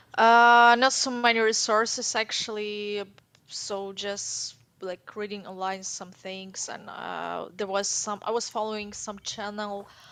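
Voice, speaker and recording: In a Ukrainian accent, a woman speaks fairly slowly at a medium pitch, her bright, sharp tone kept monotone and flat while her loudness swings widely. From Ukraine. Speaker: caller to language show. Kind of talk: casual interview. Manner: halting.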